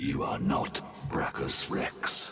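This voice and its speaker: A growling, put-on character voice from a man. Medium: video game. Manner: formal, stiff.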